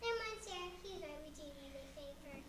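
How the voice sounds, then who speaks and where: A squeaky, put-on character voice at an extremely high pitch moves at a fairly quick pace, with a slight echo and loud background noise. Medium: stage play. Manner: polite, apologetic.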